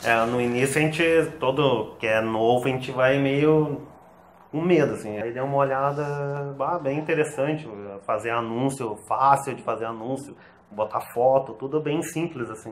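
This man has a medium pitch and talks at a moderate pace. Light background noise can be heard. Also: fairly even intonation. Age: 30s. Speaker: online seller. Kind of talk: interview. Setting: host's home. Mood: relaxed, reflective. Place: home room. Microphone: lapel.

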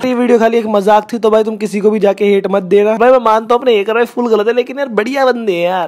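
A man talks with hardly any pauses and fairly even intonation. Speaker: vlogger. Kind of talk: casual vlog outro. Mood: light, joking, reassuring. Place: open country. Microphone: phone near.

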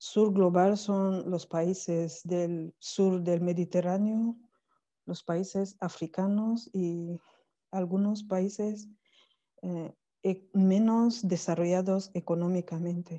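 A woman speaks at a very slow pace in a dark, mellow tone. Her intonation is monotone and flat. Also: quiet background. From Cameroon. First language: not Spanish (French or Cameroonian language) (speaking Spanish). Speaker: academic, PhD in languages. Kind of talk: online conference talk. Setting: video call from Cameroon. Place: home room. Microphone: earbuds.

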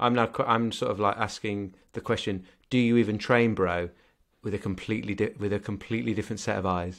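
Against a quiet background, a man with a British accent speaks fairly quickly at a fairly low pitch. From UK. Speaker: podcast co-host. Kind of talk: casual chat. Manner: animated. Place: home room. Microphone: studio mic.

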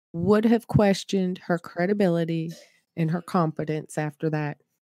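This woman has a plain, everyday voice of medium pitch with ordinary pitch variation. She talks at a fairly slow pace, with a dry, close sound and no echo. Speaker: chat moderator. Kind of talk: casual discussion. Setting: online video call.

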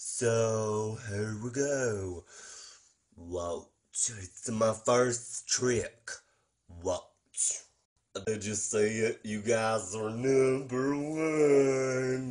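A man's put-on character voice, very slow, medium in pitch, with ordinary pitch variation. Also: quiet background. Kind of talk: comedy sketch. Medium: role play. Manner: eager, repetitive.

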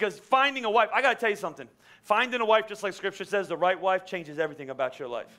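Against a quiet background, a man with a high, bright, sharp voice talks very fast in a raised, projected manner with lively intonation. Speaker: pastor. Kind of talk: sermon. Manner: fast, stuttering. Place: church. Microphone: headset.

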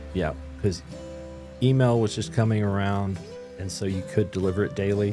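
Clear music plays in the background while a man with a fairly low pitch talks at a fairly quick pace with ordinary pitch variation. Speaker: business owner, publisher. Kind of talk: interview answer. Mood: reflective, serious storytelling. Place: studio. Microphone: studio mic.

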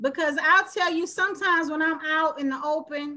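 A woman projects a raised voice with a bright, sharp tone. Her pitch varies in an ordinary way at a moderate pace. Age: 50s. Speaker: panel show host. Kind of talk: panel discussion. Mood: earnest, thoughtful. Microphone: video call.

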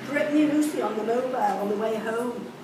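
A woman with a high voice talks at a moderate pace with ordinary pitch variation. Audible room echo and noticeable background noise fill the recording. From Liverpool, England. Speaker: poet reading own work. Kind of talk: poetry reading, spoken word to a live audience, recalling school days. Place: cafe.

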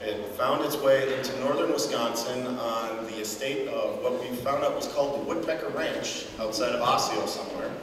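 Noticeable background noise and audible room echo surround a man's voice. He talks at a moderate pace with hardly any pauses. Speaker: folk fiddler. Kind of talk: informal talk to an audience. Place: church.

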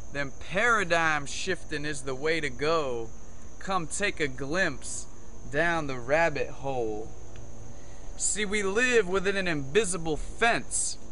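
Over light background noise, a man speaks at a very slow pace with lively intonation. His pitch is fairly high. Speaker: spoken word poet. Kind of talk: spoken word poetry, rhyming slam poem. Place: forest. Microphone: phone near.

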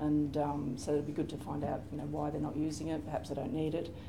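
Speaking very fast, a woman has a very deep, low pitch and fairly even intonation. Noticeable background noise runs throughout. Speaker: library systems librarian; panelist. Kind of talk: conference panel presentation. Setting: stage with audience. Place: meeting room.

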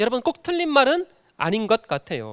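In a very clean recording with a silent background and a dry, close sound with no echo, a man with an extremely high pitch speaks at a moderate pace with very wide pitch swings. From North Jeolla, South Korea (Jinan). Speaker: pastor. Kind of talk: sermon. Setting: church.

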